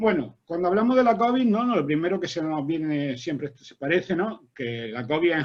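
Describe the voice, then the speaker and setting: A man's pitch swings very widely as he moves at a fairly quick pace. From Spain. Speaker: agronomist and university researcher. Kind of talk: academic seminar talk. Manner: fast.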